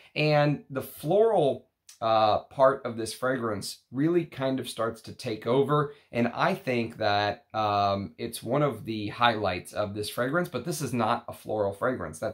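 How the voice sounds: Putting on a character voice in a Texan accent, a man speaks fairly slowly at a medium pitch with a raspy sound.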